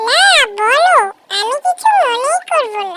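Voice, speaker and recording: A woman does a squeaky, cartoonish character voice at an extremely high pitch with lively intonation. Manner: warm, brotherly, addresses others as brother.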